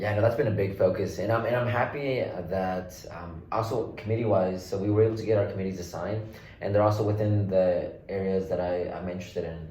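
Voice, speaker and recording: In an American accent, a man with a fairly low pitch speaks very fast with fairly even intonation. Noticeable background noise and audible room echo surround him. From Oklahoma City, Oklahoma. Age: 20s. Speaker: state legislator. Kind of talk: interview.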